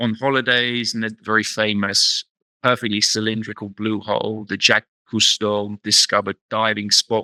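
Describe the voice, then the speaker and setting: In a British accent, a man speaks at a moderate pace with a fairly low pitch and a bright, sharp tone. The sound is dry and close, with no echo. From England, London. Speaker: researcher. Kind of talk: interview. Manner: hesitant, repeats words.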